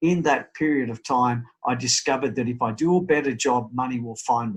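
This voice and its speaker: Ordinary pitch variation in an Australian accent, on a very clean recording with a silent background. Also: man. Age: 60s. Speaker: real estate business owner. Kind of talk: interview. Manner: halting, many repeated words.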